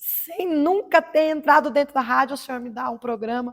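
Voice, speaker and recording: A woman speaking at a moderate pace. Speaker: evangelical preacher and former radio host. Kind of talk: testimony.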